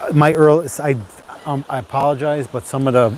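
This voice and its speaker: A soft-spoken man talks at a moderate pace over noticeable background noise. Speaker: YouTuber live-streaming. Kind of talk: casual live stream chat. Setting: outdoors at the beach. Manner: halting.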